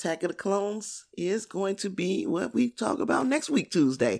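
A woman with vocal fry and a medium pitch sounds animated, her pitch swinging very widely. She talks at a moderate pace on a very clean recording with a silent background. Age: 40s. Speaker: podcast host. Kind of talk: casual solo podcast monologue.

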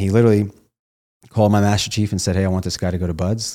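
A man with a Midwestern American accent talks at a very fast clip in a very deep, low pitch, his dark, mellow tone staying monotone and flat on a very clean recording with a silent background. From Ohio, small town. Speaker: former Navy SEAL and network marketing entrepreneur. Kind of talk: casual interview.

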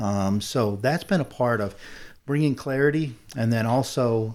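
With an American accent, a man speaks at a medium pitch with ordinary pitch variation in a very clean recording with a silent background. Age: 50s. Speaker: business owner. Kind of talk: interview.

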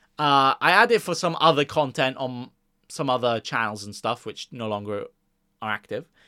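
With a Welsh accent, a man talks at medium pitch in a bright, sharp tone and lively intonation, the sound dry and close with no echo in a very clean recording against a silent background. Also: moderate pace. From Wales. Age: 20s. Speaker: fantasy football podcaster. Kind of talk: casual chat. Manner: conversational, unscripted.

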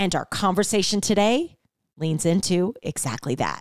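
A woman with a medium pitch talks at a fairly slow pace, her tone animated and enthusiastic. Her intonation is lively, and the sound is dry and close with no echo. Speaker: podcast host. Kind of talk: casual chat. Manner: animated, enthusiastic.

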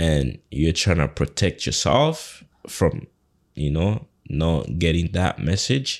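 A man with a very deep, low voice and vocal fry speaks very slowly with lively intonation and very even loudness. The recording is very clean, with a silent background. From Uganda. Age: 30s. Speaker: home care business owner. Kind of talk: casual interview.

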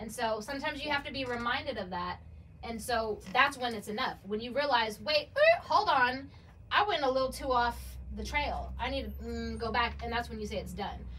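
Noticeable background noise sits behind this recording. A woman speaks over it at a fairly quick pace. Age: 30s. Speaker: bartender and model. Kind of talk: casual chat.

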